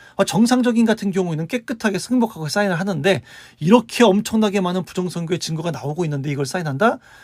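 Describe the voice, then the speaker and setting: A man talks at a very fast pace with a high pitch. The recording is very clean, with a silent background. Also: lively intonation. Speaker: political commentary YouTuber. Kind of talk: solo commentary monologue.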